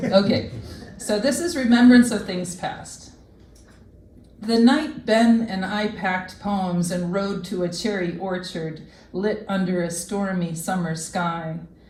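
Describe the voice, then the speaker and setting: The speech moves at a fairly slow pace, with audible room echo around it. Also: woman, medium pitch for a woman, ordinary pitch variation. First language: French. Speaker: poet. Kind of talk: poetry reading; casual remarks between readings.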